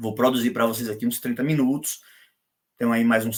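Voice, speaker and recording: A man with a Brazilian accent speaks at a medium pitch with fairly even intonation. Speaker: law professor. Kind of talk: lecture.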